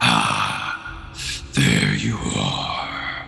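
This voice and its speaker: A man performs a growling, put-on character voice. Clear background noise runs behind him. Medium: actual play.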